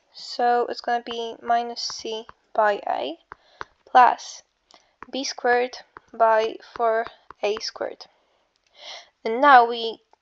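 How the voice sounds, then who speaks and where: A woman speaks with an Eastern European accent. Her pitch is fairly high. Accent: Slavic. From Slavic country. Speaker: math tutor. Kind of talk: casual math tutorial. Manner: casual, hesitant.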